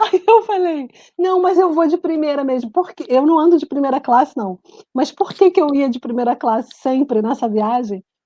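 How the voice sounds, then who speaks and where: The voice has a dark, mellow tone and lively intonation at a moderate pace, in a dry, close sound with no echo. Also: woman, high pitch for a woman. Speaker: writer and journalist. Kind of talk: casual interview chat.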